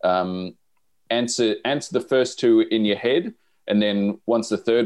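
A man with an Australian accent speaks at a fairly slow pace. Music is playing in the background. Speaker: podcast co-host. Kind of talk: casual chat.

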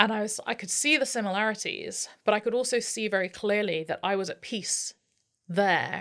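Pitch shifts normally as an ordinary speaking voice proceeds at a medium speed. Nothing is heard behind it on this very clean recording. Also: woman, fairly high pitch for a woman. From Maryland, US (Washington DC area). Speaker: crisis consultant and mediator. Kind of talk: interview.

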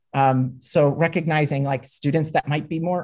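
Speech comes at a moderate pace. The recording is very clean, with a silent background. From Minnesota. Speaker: former high school ag teacher, grad student. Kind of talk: interview discussion.

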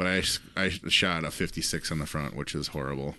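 Against a quiet background, a man speaks in a bright, sharp tone with vocal fry. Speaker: podcast co-host. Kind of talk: casual comedic banter. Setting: live stream.

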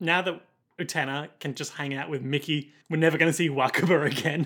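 A man's fairly high, bright and sharp voice at a fairly quick pace, with an Australian accent, on a very clean recording with a silent background. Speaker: podcast co-host. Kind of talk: casual chat.

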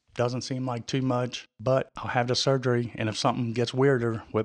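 A man's mid-range voice keeps a moderate speed. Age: 50s. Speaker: podcast host, retired firefighter and paramedic. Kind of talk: personal testimony. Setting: studio. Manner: halting, many fillers.

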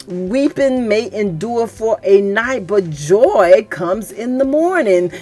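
Speech with lively intonation comes at a fairly slow pace over noticeable background noise. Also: woman. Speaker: church podcast host. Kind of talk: sermon-style religious teaching. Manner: animated, gets louder when excited; halting, with fillers.

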